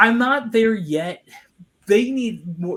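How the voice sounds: Slow and fairly bright in tone, the voice has a Long Island accent and lively intonation. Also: man. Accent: Long Island, New York.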